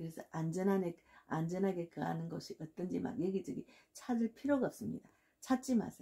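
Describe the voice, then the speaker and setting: At a fairly quick pace, a woman speaks with a medium pitch and a dark, mellow tone marked by vocal fry. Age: 60s. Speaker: pastor. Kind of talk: sermon. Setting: at home.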